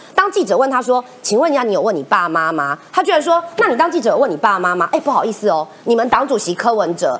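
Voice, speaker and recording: Talking at a very fast pace with hardly any pauses, a woman uses a fairly high pitch that swings very widely, while noticeable background noise runs underneath. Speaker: legislator, former journalist. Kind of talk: talk show panel commentary.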